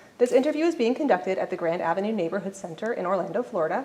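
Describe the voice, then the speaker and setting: Talking at a very fast pace, a woman uses lively intonation. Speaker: oral history interviewer. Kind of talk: interview questions.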